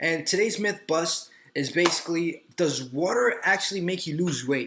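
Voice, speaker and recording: Animated in tone, a man talks at a high pitch with ordinary pitch variation. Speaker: personal trainer and fitness vlogger. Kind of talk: casual vlog monologue. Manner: fast; animated, filler-heavy.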